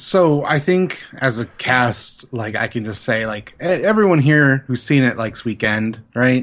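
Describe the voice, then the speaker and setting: Delivered at a fairly slow pace with hardly any pauses, this is a plain, everyday voice. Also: man, medium pitch for a man. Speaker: podcast co-host, film discussant. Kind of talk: casual chat.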